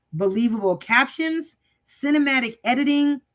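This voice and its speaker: In a very clean recording with a silent background, a woman speaks at a fairly slow pace, her high pitch swinging very widely. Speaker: AI design community coach hosting a livestream. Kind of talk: casual livestream announcement. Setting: live stream. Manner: halting, tongue-tied.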